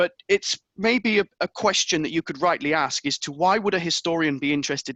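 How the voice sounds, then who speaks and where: A man with an English accent speaks with lively intonation. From England. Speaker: history professor. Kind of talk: lecture. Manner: hesitant, with fillers.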